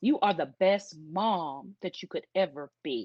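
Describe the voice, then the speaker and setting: A woman's medium-pitched voice with lively intonation, dry and close with no echo, over a quiet background. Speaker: workshop speaker on grief and love. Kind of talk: talk. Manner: animated.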